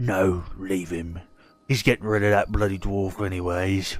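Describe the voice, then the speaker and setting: A man uses a put-on character voice with a very deep, low pitch. Faint music plays in the background. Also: moderate pace. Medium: actual play. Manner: curt, dismissive.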